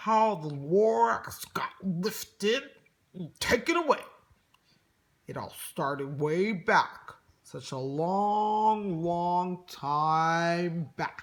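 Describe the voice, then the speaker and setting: Using a put-on character voice, the speaker sounds nasal at a middle pitch and talks at a very slow pace. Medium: read story. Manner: grunting, self-justifying.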